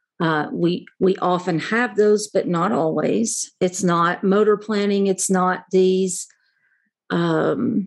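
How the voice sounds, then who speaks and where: A woman's unremarkable speaking voice at medium pitch, with ordinary pitch variation over a quiet background. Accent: American. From US South, southern West Virginia. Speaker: organizational psychology consultant. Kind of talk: interview.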